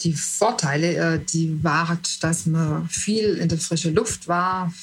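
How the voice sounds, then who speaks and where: Her voice is somewhat breathy and fairly low in pitch for a woman. She speaks at a very slow pace. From southern Germany, Lake Constance region. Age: 60s. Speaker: retiree interviewee. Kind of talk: interview. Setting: video call. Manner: halting, many fillers.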